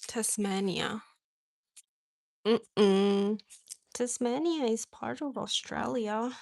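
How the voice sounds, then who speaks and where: Speaking very slowly with long, frequent pauses, a woman with an American accent uses a fairly high pitch and ordinary pitch variation. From Indonesia. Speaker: craft livestreamer. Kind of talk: casual live chat. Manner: hesitant, many fillers.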